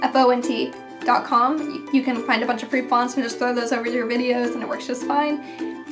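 Clear music plays in the background as a woman speaks at a fairly quick pace in a high pitch, with ordinary pitch variation. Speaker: gaming YouTuber. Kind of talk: tutorial explanation. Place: home room.

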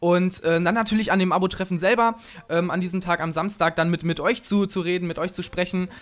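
The delivery moves at a fairly quick pace. Intonation stays fairly even. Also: man, high pitch for a man. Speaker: gaming commentator. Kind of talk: casual talk to camera. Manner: fast.

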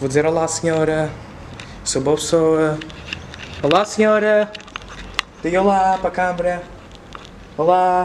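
A man's high-pitched voice at a fairly slow pace, with long, frequent pauses and noticeable background noise. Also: fairly even intonation. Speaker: YouTuber. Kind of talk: vlog narration.

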